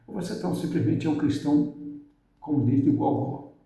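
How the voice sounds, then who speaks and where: A man talks in a fairly high voice, and audible echo from the room follows his words. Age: 60s. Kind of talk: religious motivational talk. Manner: casual, halting.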